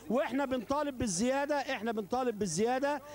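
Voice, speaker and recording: A man at a fairly quick pace, dry sound with no echo, light background noise. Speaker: union spokesman. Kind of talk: interview answer. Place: street. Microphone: handheld.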